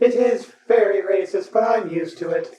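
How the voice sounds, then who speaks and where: The speaker puts on a character voice at a fairly high pitch. The delivery runs at a moderate pace. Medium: actual play. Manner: logical.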